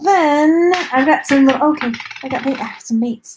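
A woman speaks with an American accent. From Texas. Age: 40s. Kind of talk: live-stream unboxing chat. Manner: animated, laughs often. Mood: cheerful, curious. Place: home room. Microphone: webcam.

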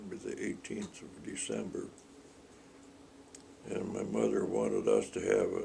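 Some light background noise is present. A man is talking. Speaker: elderly man recalling family memories. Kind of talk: interview answer. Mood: warm, nostalgic. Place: home room. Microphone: phone near.

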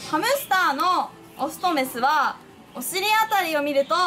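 A woman uses a raised, projected voice in a Hiroshima accent, with very wide pitch swings. Faint music plays in the background. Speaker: puppet presenter. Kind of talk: tutorial. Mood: friendly, playful. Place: shop.

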